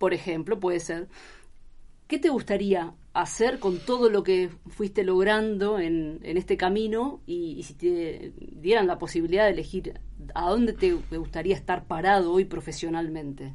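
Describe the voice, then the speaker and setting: A woman with a Rioplatense accent speaks at a fairly slow pace, her medium pitch showing ordinary variation. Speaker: radio journalist. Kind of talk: interview. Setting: studio.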